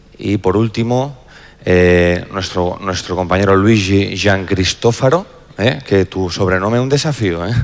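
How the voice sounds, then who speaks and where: Speaking at a fairly slow pace, a man with a fairly low pitch shows ordinary pitch variation. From Spain. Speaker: insurance executive and panel moderator. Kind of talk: panel introduction. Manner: halting, frequent repetitions.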